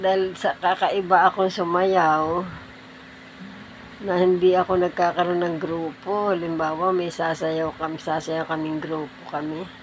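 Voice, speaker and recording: A woman with a fairly low pitch speaks at a fairly slow pace in a monotone, flat intonation. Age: 70s. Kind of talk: casual talk to camera.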